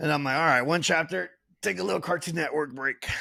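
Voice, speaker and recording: This man has an animated, bright, sharp tone. The recording is very clean with a silent background. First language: not English. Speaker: podcast co-host. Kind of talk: casual chat.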